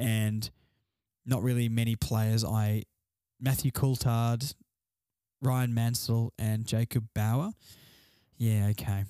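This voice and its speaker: A man with an Australian accent and a dark, mellow tone, at a very slow pace with long, frequent pauses, monotone, flat intonation and very even loudness, in a dry, close sound with no echo. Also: medium pitch for a man, very clean recording, silent background. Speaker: solo sports podcast host. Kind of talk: casual solo commentary. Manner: quieter than usual.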